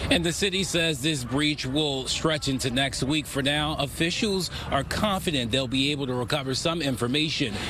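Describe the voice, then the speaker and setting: Against noticeable background noise, a man talks at a moderate pace in a fairly high voice with ordinary pitch variation. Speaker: TV news reporter. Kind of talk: TV news report.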